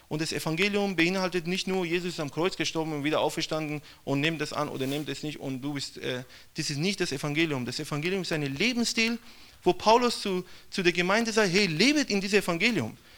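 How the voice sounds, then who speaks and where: Speaking at a fairly quick pace, a man with a high pitch uses ordinary pitch variation in a very clean recording with a silent background. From Iran. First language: Persian (speaking German). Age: young. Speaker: missionary. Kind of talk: testimony.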